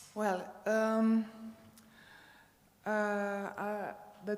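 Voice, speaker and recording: With noticeable background noise and audible room echo, a woman speaks at a medium pitch. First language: not English. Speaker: sports sociologist, conference speaker. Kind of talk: conference talk. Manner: halting, many fillers.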